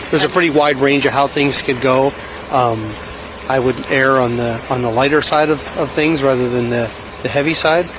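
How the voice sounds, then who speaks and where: A man speaks at a moderate pace with an American accent, his pitch medium and his intonation fairly even. Noticeable background noise sits behind him. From Pennsylvania. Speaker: wildlife trooper. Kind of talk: casual chat.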